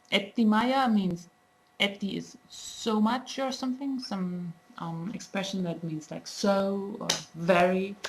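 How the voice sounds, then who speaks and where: Very slowly, a woman speaks with ordinary pitch variation and big swings in loudness. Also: medium pitch for a woman. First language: German. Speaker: language teacher. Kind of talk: tutorial. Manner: halting, many fillers.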